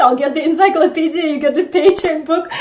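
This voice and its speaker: An extremely high-pitched woman's voice with a slight Eastern European accent, at a moderate pace, against noticeable background noise. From Estonia. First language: Russian. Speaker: social media coach. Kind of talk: casual chat. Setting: live video broadcast.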